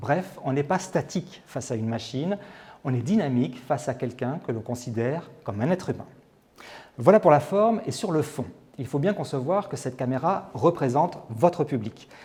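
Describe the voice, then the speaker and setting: With lively intonation, a man talks at a moderate pace in a fairly high pitch, his tone dark, mellow and somewhat breathy. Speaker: TV presenter. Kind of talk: presentation coaching tips to camera.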